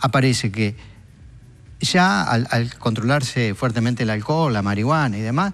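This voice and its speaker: A man is talking. He has a Uruguayan accent. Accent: Rioplatense Spanish (Uruguayan). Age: 60s. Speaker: drug policy expert. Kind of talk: TV talk show interview.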